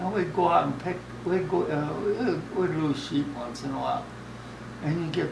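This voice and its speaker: With noticeable background noise behind him, a man speaks fairly slowly in a fairly high pitch, his pitch variation ordinary. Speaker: retired farmer and rancher. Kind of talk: interview answer.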